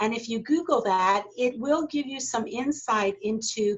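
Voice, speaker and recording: A woman's normal speaking voice, fairly high in pitch with ordinary pitch variation, with an American accent. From United States. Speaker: corporate learning specialist, leadership trainer. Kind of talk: online workshop Q&A.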